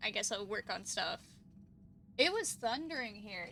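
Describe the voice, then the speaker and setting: Quiet and high-pitched, a woman's bright, sharp voice moves at a moderate pace. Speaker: vtuber streamer. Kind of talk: casual live stream chat. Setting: live stream.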